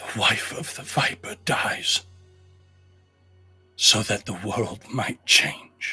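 With faint music in the background, a man uses a put-on character voice at a medium pitch, speaking at a very slow pace with long, frequent pauses.

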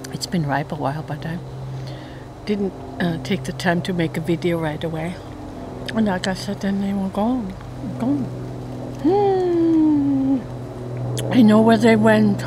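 A woman's fairly low-pitched voice with long, frequent pauses and noticeable background noise. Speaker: home gardener vlogger. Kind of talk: casual vlog chat. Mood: cheerful, playful. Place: forest. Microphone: phone near.

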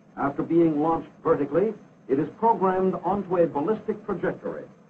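High pitch from a man, with ordinary variation in pitch. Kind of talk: 1950s US Army educational film narration, scripted and technical. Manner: formal, measured, authoritative newsreel-style delivery; clipped and brisk, matter-of-fact, declarative.

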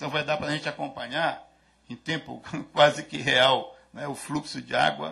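A man with a bright, sharp tone and some vocal fry, his pitch fairly high. He talks at a moderate pace with fairly even intonation. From Brazil. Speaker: agricultural research coordinator; conference speaker. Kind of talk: lecture. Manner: halting. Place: hall. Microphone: podium.

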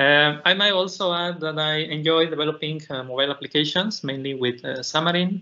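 A man speaks with a Spanish accent at a fairly high pitch. His pace is moderate and his pitch variation ordinary. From Mexico. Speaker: PhD student and tech speaker; conference presenter. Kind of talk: technical conference talk. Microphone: video call.

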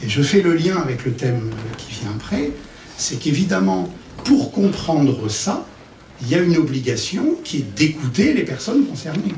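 A man's fairly high voice at a fairly slow pace, with very wide pitch swings, audible room echo and light background noise. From Paris, France. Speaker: psychosociologist and consultant; conference speaker. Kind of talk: conference talk. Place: stage.

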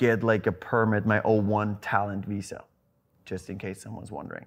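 The speaker has a non-native accent and a monotone, flat intonation. The background is quiet. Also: man. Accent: foreign. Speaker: celebrity trainer. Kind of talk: podcast guest conversation. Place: home room. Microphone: lapel.

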